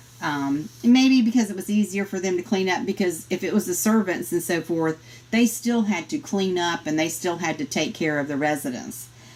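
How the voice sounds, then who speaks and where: A woman with a Southern US accent speaks at a moderate pace in a fairly low pitch over noticeable background noise. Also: lively intonation, hardly any pauses. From US South. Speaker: Bible study teacher. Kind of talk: Bible study lesson.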